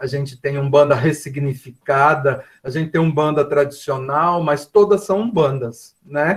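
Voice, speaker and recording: At a moderate pace, a man with a fairly high pitch and a somewhat breathy voice speaks with ordinary pitch variation. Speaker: professor. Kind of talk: lecture.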